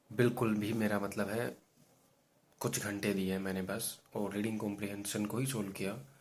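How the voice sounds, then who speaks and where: Audible room echo surrounds a man speaking at a fairly low pitch in a monotone, flat intonation. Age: 20s. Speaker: exam aspirant vlogger. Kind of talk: personal video diary. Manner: hesitant, many fillers.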